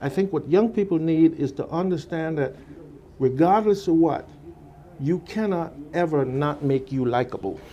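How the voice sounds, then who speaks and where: With a dark, mellow tone and a slight Virgin Islands accent, a man talks in a fairly high pitch at a moderate pace, showing ordinary pitch variation and long, frequent pauses. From US Virgin Islands. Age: 60s. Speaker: former radio salesperson. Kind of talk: radio interview.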